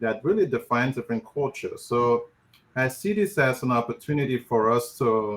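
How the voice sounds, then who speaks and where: A man with a Nigerian accent at a medium pitch and a moderate pace, with ordinary pitch variation. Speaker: physician and professor of family medicine. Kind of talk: panel discussion.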